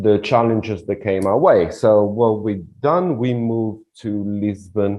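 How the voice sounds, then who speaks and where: The speaker talks at a fairly slow pace in an Italian accent. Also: man, fairly low pitch for a man, ordinary pitch variation. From Italy (Rome). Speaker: relocation consultant. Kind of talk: interview. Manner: halting.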